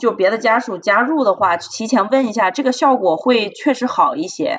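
This woman's pitch swings very widely as she talks at a moderate pace. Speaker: hospital physician. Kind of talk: casual chat.

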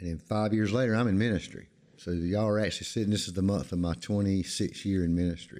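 A man with an American accent, a fairly low pitch, a dark, mellow tone, ordinary pitch variation and a very fast pace. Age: 50s. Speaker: pastor. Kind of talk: interview. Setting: church.

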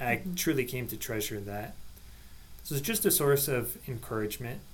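Somewhat breathy, a man speaks at a moderate pace with ordinary pitch variation, and audible room echo surrounds his voice. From Nebraska, US Midwest. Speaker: parish catechist. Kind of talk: casual podcast chat.

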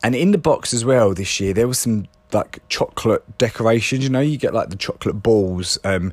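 Speaking at a fairly quick pace with a southern English accent, a man holds a medium pitch and ordinary pitch variation. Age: 30s. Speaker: podcaster. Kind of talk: personal diary-style monologue. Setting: caravan.

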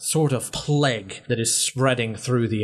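This is a natural reading voice. It comes through in each line.

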